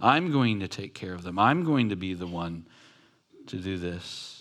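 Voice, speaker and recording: In a room with audible echo, a man with an American accent speaks fairly slowly with lively intonation. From Southern California, Long Beach. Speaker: pastor. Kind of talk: sermon. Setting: church.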